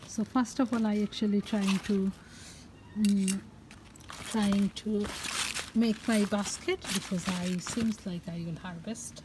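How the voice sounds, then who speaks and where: A woman at a fairly slow pace with long, frequent pauses, amid noticeable background noise. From Bangladesh. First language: Bengali. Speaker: gardening and cooking vlogger. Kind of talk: garden vlog narration. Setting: outdoors. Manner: animated. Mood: cheerful, enthusiastic. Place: garden. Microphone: phone near.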